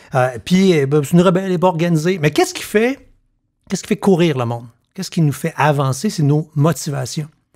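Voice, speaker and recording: Speaking at a very fast pace in a Quebec accent, a man shows ordinary pitch variation. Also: fairly high pitch for a man, quiet background. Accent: Québécois French. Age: 50s. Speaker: podcast host. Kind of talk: casual chat; podcast conversation. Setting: home living room. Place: studio. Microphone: studio mic.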